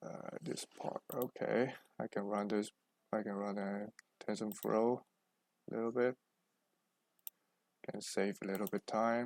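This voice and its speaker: A fairly low-pitched man at a fairly slow pace, with long, frequent pauses, fairly even intonation, and a dry, close sound with no echo. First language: Chinese. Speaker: programming tutor. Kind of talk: tutorial. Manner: halting, many fillers.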